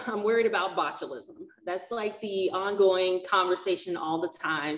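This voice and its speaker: A woman at a moderate pace with ordinary pitch variation, in audible room echo. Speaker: workshop host. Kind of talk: tutorial. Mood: friendly, laughing at times. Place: kitchen. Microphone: webcam.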